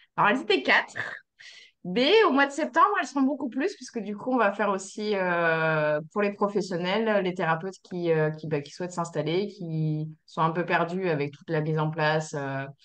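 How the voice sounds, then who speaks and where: A woman at medium pitch, moderate pace and lively intonation. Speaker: somato-emotional therapist. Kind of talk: casual chat. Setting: video call. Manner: halting.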